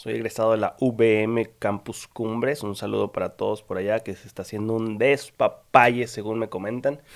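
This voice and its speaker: A plain, everyday voice from a man, medium in pitch and fairly slow in pace, on a very clean recording with a silent background. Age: 20s. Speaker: podcast host, architect. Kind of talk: casual chat.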